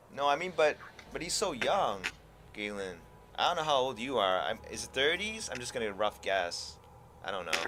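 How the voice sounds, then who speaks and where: Over noticeable background noise, a man with a medium-pitched voice talks at a moderate pace, his pitch swinging very widely between long, frequent pauses. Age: 40s. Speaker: gaming streamer. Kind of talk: casual chat.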